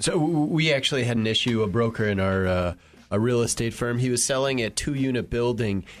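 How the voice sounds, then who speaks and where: A man with a plain, everyday voice talks at a fairly quick pace and a medium pitch, keeping very even loudness and ordinary pitch variation over a quiet background. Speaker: brokerage president. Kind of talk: professional discussion.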